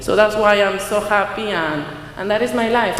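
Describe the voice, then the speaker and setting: Speech in a Spanish accent, with audible room echo and noticeable background noise. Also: woman. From Peru. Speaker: community center founder, activist. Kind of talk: interview. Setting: stage event broadcast live. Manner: halting.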